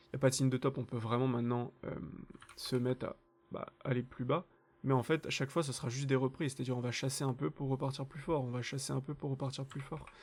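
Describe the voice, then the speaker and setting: A man talks at a very fast pace at medium pitch. His voice is somewhat breathy, with monotone, flat intonation. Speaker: crypto trading analyst, channel host. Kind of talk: market analysis tutorial.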